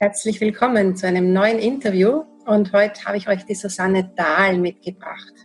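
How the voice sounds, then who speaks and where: Delivered at a moderate pace, this is an unremarkable speaking voice with ordinary pitch variation. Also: woman, medium pitch for a woman. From Austria, Vienna. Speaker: podcast host, interviewer. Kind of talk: interview.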